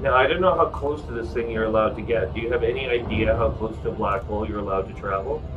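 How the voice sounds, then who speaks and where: A man with a Canadian accent talks at a very fast pace with hardly any pauses, with audible room echo and music in the background. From Canada. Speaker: video game streamer. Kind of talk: casual gaming chat. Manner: animated.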